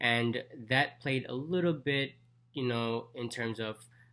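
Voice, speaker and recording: This man talks with a bright, sharp tone. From Jamaica. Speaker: dentist and vlogger. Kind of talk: casual vlog talk.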